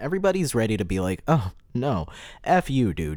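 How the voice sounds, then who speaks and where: Here a man with an American accent speaks at a fairly low pitch, using very wide pitch swings. The recording is very clean and the background silent. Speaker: podcast host. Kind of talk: casual monologue. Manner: rambling, filler-heavy.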